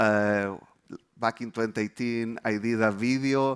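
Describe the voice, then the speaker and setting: A man with a Chilean accent speaks at a medium pitch with ordinary pitch variation, in a dry, close sound with no echo on a very clean recording with a silent background. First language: Spanish. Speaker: developer advocate. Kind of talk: conference presentation.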